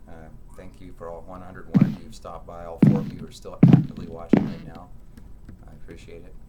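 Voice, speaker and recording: Audible room echo and noticeable background noise are present in the recording. The man talks at a very fast pace. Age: 30s. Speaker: gaming livestreamer. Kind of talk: live gameplay commentary. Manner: casual, halting with many fillers.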